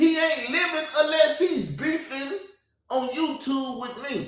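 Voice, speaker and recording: Loud and extremely high-pitched, a man speaks at a very slow pace in a bright, sharp tone with audible room echo. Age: 40s. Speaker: YouTube commentator. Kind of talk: heated rant. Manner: laughing.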